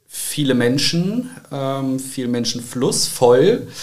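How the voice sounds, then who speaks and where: Very slow speech from a man at medium pitch with ordinary pitch variation and audible room echo. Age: 20s. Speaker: church youth volunteer. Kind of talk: casual chat.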